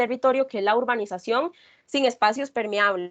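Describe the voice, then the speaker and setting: Pitch variation is ordinary. A quiet background lies behind the voice. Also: woman. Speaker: environmental researcher presenting her work. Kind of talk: class presentation. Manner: fast.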